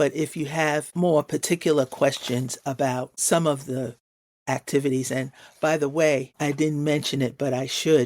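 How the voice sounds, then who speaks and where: On a very clean recording with a silent background, a woman with a very deep, low pitch speaks at a moderate pace in a monotone, flat intonation. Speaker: licensed clinical social worker and caregiver. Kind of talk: interview testimony. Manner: halting, self-noted stutter.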